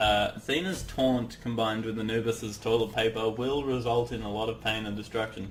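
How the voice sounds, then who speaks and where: With hardly any pauses, a man speaks in an Australian accent. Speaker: gaming commentator. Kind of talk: gameplay commentary. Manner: animated.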